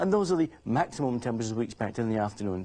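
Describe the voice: A man speaks with a dark, mellow tone. His intonation is lively.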